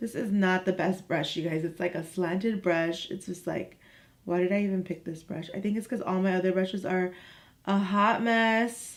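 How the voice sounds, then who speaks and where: Using a raspy, put-on character voice, a woman speaks at a medium pitch and a moderate pace with fairly even intonation. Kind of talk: casual vlogger.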